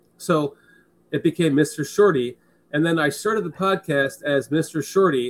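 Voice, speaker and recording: Using a plain, everyday voice, a man speaks at a moderate pace and a fairly high pitch with ordinary pitch variation. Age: 40s. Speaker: sports podcast host. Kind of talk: casual chat. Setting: video call.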